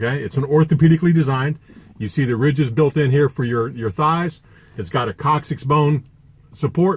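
Somewhat breathy, a man talks fairly quickly, his pitch varying in an ordinary way. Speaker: truck driver vlogger. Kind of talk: product review vlog. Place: car. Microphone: phone near.

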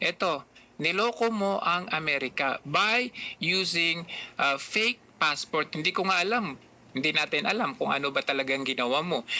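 A very clean recording, silent in the background, at a moderate pace. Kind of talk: angry rant. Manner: furious, sarcastic and accusatory, hammering points with rhetorical questions.

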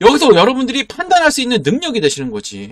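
A man talks at a fairly quick pace. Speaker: stock market YouTuber. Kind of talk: sales pitch. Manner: animated; emphatic.

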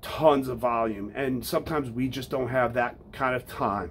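A man speaks at a moderate pace with fairly even intonation. Light background noise can be heard. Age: 40s. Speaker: fitness podcast host and firefighter; fitness podcast host. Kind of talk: casual monologue. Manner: casual, with many fillers. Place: home room.

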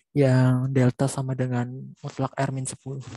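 A man's medium-pitched, somewhat breathy voice with a dark, mellow tone, dry with no echo against a quiet background. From Indonesia. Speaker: student; student tutor. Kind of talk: classroom question. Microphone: video call.

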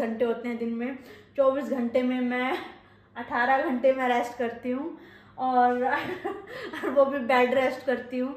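Audible room echo surrounds a woman speaking very slowly in a high voice. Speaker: vlogger. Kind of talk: casual chat. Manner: speaks in masculine verb forms. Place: home room. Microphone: phone near.

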